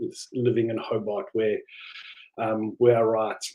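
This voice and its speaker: A man with a South African accent talks at a fairly slow pace and a medium pitch. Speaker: novelist. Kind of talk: live online book talk. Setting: livestream. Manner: halting, many fillers.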